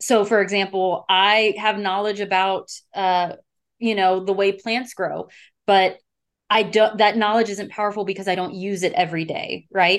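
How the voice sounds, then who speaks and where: In an American accent, a woman speaks at a medium pitch with a monotone, flat intonation. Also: moderate pace. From Texas. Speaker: communication instructor. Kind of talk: casual interview chat. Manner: blunt, straightforward.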